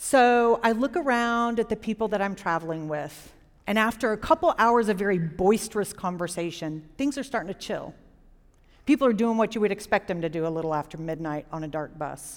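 A woman with an American accent talks at a fairly quick pace in a plain, everyday voice, her pitch medium, on a very clean recording with a silent background. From Jacksonville, Florida. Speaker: storyteller. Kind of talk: live storytelling. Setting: stage with audience.

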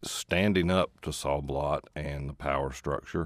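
A man with an American accent speaks at a moderate pace, with ordinary pitch variation and some vocal fry. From East Tennessee. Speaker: newspaper columnist and author. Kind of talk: radio interview. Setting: radio studio. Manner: soft-spoken.

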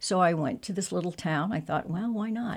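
On a very clean recording with a silent background, a woman speaks in a fairly low voice with a Midwestern American accent. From central Illinois, near Springfield. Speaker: community volunteer. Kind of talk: radio interview.

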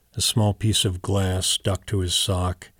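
Somewhat breathy and monotone with flat intonation, a man talks at a fairly slow pace in a dry, close sound with no echo, in a very clean recording with a silent background. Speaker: poet. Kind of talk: poetry reading, deadpan literary delivery of a surreal poem.

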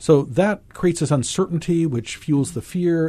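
In a somewhat breathy voice with a dark, mellow tone, a man speaks at a moderate pace. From US Deep South. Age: old. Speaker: clinical psychologist. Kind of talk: radio panel discussion. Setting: radio studio.

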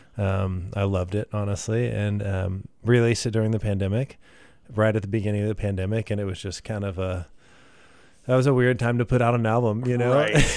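A Texan accent with fairly even intonation on a very clean recording with a silent background. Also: man, fairly low pitch for a man. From Texas, Midland and Katy. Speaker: singer-songwriter. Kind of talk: casual interview. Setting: radio studio.

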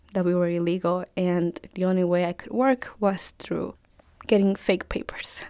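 At a moderate pace, a woman with a strong Spanish accent speaks in a monotone, flat intonation. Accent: thick Spanish. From El Salvador. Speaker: undocumented immigrant student. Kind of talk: personal testimony interview.

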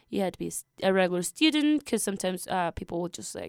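On a very clean recording with a silent background and a dry, close sound with no echo, a woman speaks at a medium pitch with very wide pitch swings. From Peru. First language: Spanish. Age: 20s. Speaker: college student. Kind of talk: radio interview. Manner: hesitant, many fillers.

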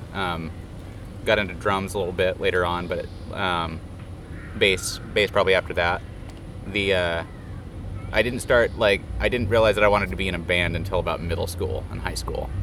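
Someone speaks at a moderate pace, with audible room echo and noticeable background noise. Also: man. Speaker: bass player. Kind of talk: backstage interview. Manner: halting, many ums.

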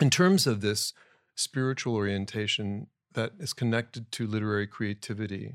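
A man with an unremarkable speaking voice, medium pitch and ordinary pitch variation, dry, close sound with no echo, very clean recording over a silent background. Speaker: writer of introduction. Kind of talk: interview conversation. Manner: formal, thoughtful.

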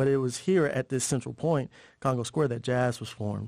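With a plain, everyday voice, a man talks at a medium pitch and with fairly even intonation. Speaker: hip-hop educator, organization co-founder. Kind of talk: interview.

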